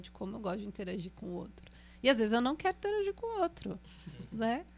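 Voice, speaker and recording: Woman at a fairly high pitch, talking at a very fast pace. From Brazil, Pindamonhangaba, São Paulo state. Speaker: singer and voice teacher. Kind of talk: podcast interview. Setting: studio.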